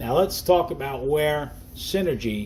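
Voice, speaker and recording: A man talks at a fairly slow pace in a New Jersey accent. His pitch sits fairly high. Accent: New Jersey accent, noticeable. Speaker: network marketing distributor. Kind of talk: sales presentation. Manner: casual, conversational.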